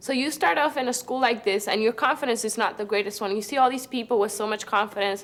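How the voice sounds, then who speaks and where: A woman with a Spanish accent and a fairly high pitch speaks at a very fast pace with hardly any pauses, over noticeable background noise. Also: ordinary pitch variation. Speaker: student. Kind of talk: testimony. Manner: halting, frequent repetitions.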